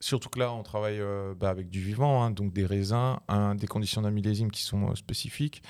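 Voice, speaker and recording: A man with a plain, everyday voice, fairly low in pitch and fairly even in intonation, at a moderate pace on a very clean recording with a silent background. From France, Alsace, near Strasbourg. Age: 30s. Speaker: winemaker. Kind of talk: casual chat. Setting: studio.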